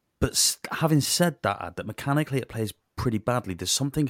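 A man with a Welsh accent speaks at a fairly quick pace with lively intonation. The recording is very clean with a silent background and a dry, close sound with no echo. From Wales. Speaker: podcast co-host. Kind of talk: casual banter about video games. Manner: crude, joking, sweary.

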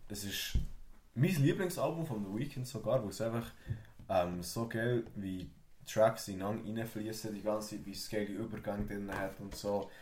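A man's fairly low-pitched voice at a moderate pace, with ordinary pitch variation, big swings in loudness and audible room echo. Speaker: podcast guest, student. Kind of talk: casual chat.

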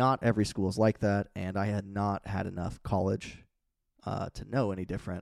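With an ordinary speaking voice, a man talks at a moderate pace and a fairly low pitch, his intonation fairly even, on a very clean recording with a silent background. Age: 20s. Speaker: navy veteran. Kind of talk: casual chat. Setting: at host's home.

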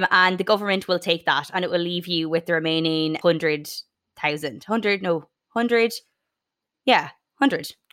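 A woman's fairly low voice with a bright, sharp tone, lively intonation and a northwestern Irish accent. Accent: Irish (north-west). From Ireland, County Sligo. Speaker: podcast host. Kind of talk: casual chat.

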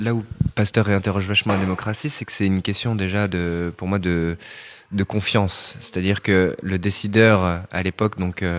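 A man's fairly low voice at a moderate pace. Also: fairly even intonation. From Rennes, Brittany. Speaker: architect. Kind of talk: interview. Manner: hesitant, many fillers.

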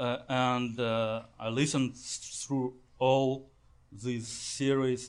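A man speaks in a Russian accent at a medium pitch. His pace is very slow and his intonation is monotone and flat. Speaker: audience member, fan. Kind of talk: on-stage interview. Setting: stage with audience. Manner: halting.

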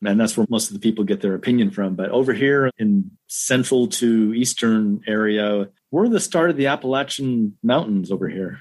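Here is a plain, everyday voice: a man with an American accent at medium pitch and lively intonation. He keeps a moderate pace with hardly any pauses. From US West Coast, Los Angeles suburbs. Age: 50s. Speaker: radio technician and amateur runner. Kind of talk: casual interview.

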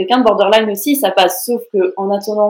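Delivered at a fairly quick pace, an unremarkable speaking voice keeps a fairly even intonation. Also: woman. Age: 20s. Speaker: psychology student and mental health content creator. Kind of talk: personal testimony.

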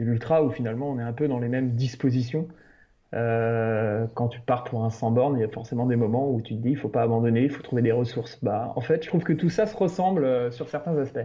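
At a fairly quick pace, a man speaks at medium pitch with ordinary pitch variation in an ordinary speaking voice. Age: 30s. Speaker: illustrator and trail runner. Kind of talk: casual interview.

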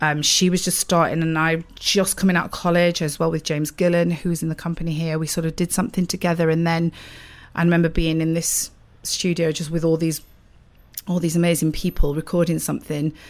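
A woman with a Sheffield accent, fairly low in pitch, flat and monotone, at a fairly quick pace. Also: very clean recording, silent background. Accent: northern English (Sheffield). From Sheffield, South Yorkshire, England. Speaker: musical theatre actress. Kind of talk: casual interview. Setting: dressing room.

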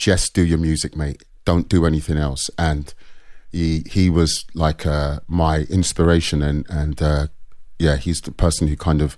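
A man speaks with a very deep, low pitch. His delivery is fairly slow and monotone, with flat intonation. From North London, England. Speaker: music producer and artist manager. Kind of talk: interview conversation.

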